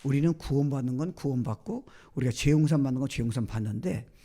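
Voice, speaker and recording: A man's somewhat breathy voice, medium in pitch with a dark, mellow tone. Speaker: guest pastor. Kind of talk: sermon.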